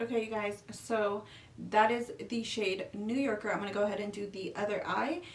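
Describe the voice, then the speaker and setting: Through noticeable background noise and audible room echo, a woman with an American accent talks at a moderate pace in a fairly high pitch with fairly even intonation. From California. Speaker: beauty youtuber. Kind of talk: makeup tutorial. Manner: casual chatty.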